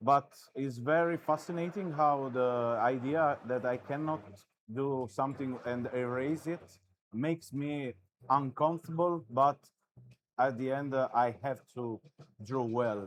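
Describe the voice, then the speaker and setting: Speaking fairly slowly with long, frequent pauses, a man with a non-native accent keeps a medium pitch and ordinary pitch variation. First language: not English. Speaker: artist. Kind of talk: live commentary while drawing. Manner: halting.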